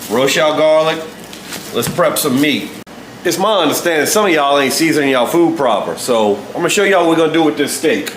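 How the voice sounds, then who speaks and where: A fairly high-pitched man with a New Orleans accent at a very fast pace, amid noticeable background noise and audible room echo. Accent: New Orleans Southern US. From US South, New Orleans. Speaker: home cook. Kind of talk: casual cooking video. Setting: home kitchen. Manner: casual, joking.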